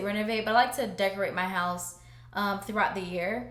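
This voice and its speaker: Medium-pitched woman's voice amid noticeable background noise and audible room echo. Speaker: home decor vlogger. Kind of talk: casual vlog talk to camera.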